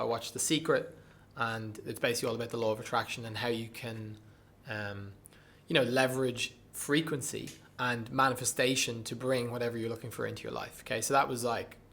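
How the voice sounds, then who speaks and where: A man talks at a fairly quick pace in a Dublin accent. His tone is bright and sharp, his intonation monotone and flat. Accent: Dublin Irish. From Dublin, Ireland. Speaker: breathwork coach and performer. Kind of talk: podcast interview answer.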